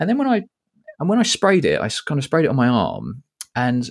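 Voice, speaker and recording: A man with a British accent talks. His pace is very fast. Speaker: podcast host and fragrance YouTuber. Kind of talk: casual chat. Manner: jokey, laughing.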